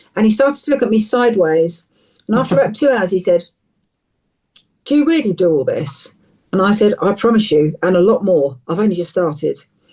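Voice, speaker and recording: A woman's dark, mellow voice with an English accent, medium in pitch, with very wide pitch swings, very even loudness, and long, frequent pauses. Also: fairly quick pace. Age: 60s. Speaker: counsellor and charity founder. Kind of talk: interview. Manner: animated.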